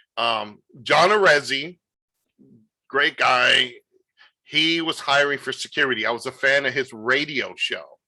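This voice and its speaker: A man with a New York accent speaks fairly slowly, leaving long, frequent pauses. His fairly high voice has a bright, sharp tone. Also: ordinary pitch variation. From New York City. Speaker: wrestling promoter. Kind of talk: interview. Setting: video call. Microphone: good audio.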